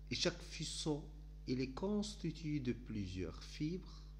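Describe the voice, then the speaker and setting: A man talks very slowly, and audible room echo surrounds his words. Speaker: teacher. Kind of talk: lecture. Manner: halting.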